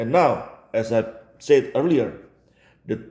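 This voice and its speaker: A man with an Indonesian accent speaks very slowly in a dark, mellow, somewhat breathy voice. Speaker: religion commentator. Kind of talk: video commentary.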